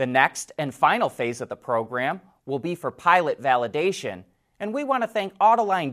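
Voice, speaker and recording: A moderate pace carries this very clean recording, its background silent. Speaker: car show host. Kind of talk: news reading.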